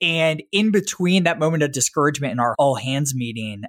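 A man speaks at a fairly high pitch. His pitch variation is ordinary. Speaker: podcast host. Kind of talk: scripted intro and interview.

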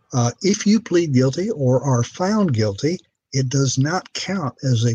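An American accent comes through in this speech. There is a somewhat breathy quality to it. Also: man. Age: 70s. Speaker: retired judge. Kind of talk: interview.

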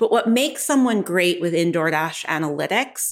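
A woman talks with an American accent in an ordinary speaking voice. Her intonation is lively and her pace moderate. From New York. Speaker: tech executive, head of data analytics. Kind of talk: interview.

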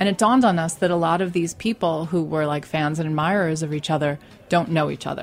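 A woman talks with an American accent. Her pace is very fast. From Staten Island, New York. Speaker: magazine founder. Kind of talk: casual chat. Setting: studio.

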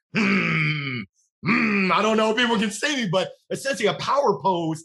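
At a moderate pace, the voice is raised and projected, with lively intonation and an energetic tone. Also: man. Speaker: sales leader. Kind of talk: casual interview. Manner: loud.

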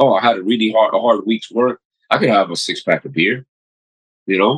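Dry and close with no echo, a man with a New York accent talks at a moderate pace and a medium pitch, with ordinary pitch variation. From New York City, Queens. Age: 40s. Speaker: paramedic and physician. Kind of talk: casual interview.

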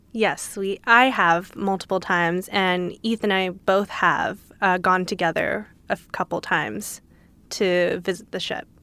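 A woman's bright, sharp voice in a Californian accent, fairly slow and fairly even in intonation, with big swings in loudness on a very clean recording with a silent background. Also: medium pitch for a woman. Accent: Californian American. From Los Angeles. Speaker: litigant, defendant. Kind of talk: casual chat.

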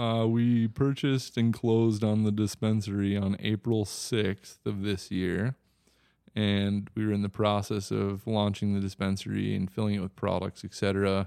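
With a slight Wisconsin accent, a man speaks at a moderate pace in a fairly low, monotone, flat voice. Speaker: cannabis business owner. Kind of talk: casual interview.

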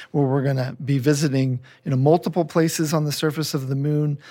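A man with a fairly high voice and an American accent talks in a very clean recording against a silent background. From US Northeast, Philadelphia. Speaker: aerospace engineer. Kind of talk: panel discussion. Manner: halting, many fillers.

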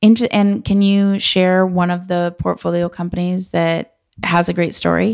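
With an American accent, a plain, everyday voice talks at a moderate pace with fairly even intonation. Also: woman, fairly low pitch for a woman. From Los Angeles. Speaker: podcast host. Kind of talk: casual interview.

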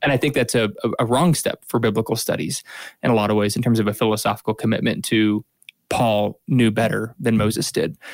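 A man's medium-pitched voice, an unremarkable speaking voice, with fairly even intonation, a dry, close sound with no echo and a very clean recording with a silent background. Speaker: podcast co-host. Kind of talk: casual chat and Bible discussion.

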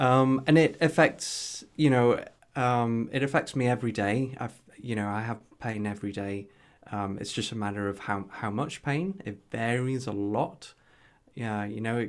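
On a very clean recording with a silent background, a man speaks at a fairly slow pace, his medium pitch showing ordinary pitch variation. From northeast England. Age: 30s. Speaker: health tech entrepreneur. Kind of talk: casual interview chat. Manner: halting, with many fillers.

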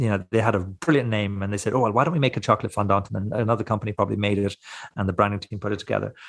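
A man is speaking. He has a Cork accent. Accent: Irish, Cork. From Ireland, West Cork. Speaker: smoked meat producer and knife maker. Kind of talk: interview. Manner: halting, many repeated words.

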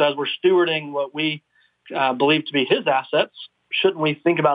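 In a normal speaking voice, a man talks at a fairly quick pace, his fairly high pitch held to a fairly even intonation. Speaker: investment company executive. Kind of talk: radio interview.

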